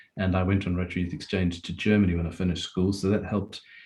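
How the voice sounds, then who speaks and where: The speech comes at a very fast pace, somewhat breathy, with monotone, flat intonation. The recording is very clean, with a silent background. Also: man. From South Africa, near Durban. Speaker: Rotary club member and district webmaster. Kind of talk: meeting talk, personal story.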